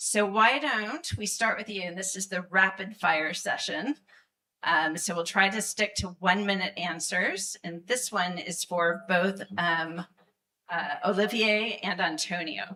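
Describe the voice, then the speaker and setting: The voice has a bright, sharp tone with vocal fry, ordinary pitch variation and a fairly slow pace. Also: woman, medium pitch for a woman. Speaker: panel moderator. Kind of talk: panel discussion moderation. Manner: soft-spoken. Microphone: too quiet, needs to speak into mic.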